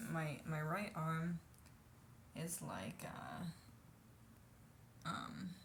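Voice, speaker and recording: Audible room echo surrounds a soft-spoken woman. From United States. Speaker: vlogger. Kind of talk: casual vlog monologue. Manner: hesitant, many fillers.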